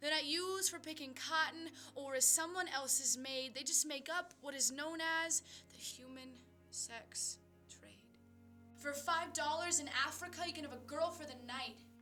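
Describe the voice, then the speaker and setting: A woman's raised, projected voice at high pitch and moderate pace, with fairly even intonation, big swings in loudness, and music in the background. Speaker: poet. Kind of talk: slam poetry performance. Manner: earnest, impassioned.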